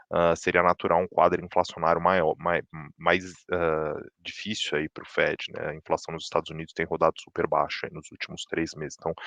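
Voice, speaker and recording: The loudness swings widely, and the sound is dry and close with no echo. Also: man. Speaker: chief economist. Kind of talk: market update presentation. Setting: livestream. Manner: fast; many filler words and restarts.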